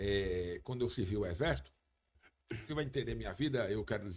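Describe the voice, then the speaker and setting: At a fairly quick pace, a man talks with vocal fry and very wide pitch swings. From Brazil, Paraíba (João Pessoa). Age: 60s. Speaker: radio and TV sports journalist, former police officer. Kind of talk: podcast interview. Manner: halting, many false starts.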